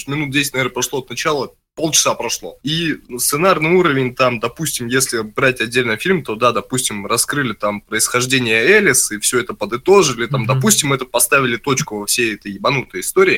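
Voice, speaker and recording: Fairly quick and lively in intonation, a man speaks at a medium pitch with a bright, sharp tone. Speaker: gaming podcast co-host. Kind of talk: casual chat. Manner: animated.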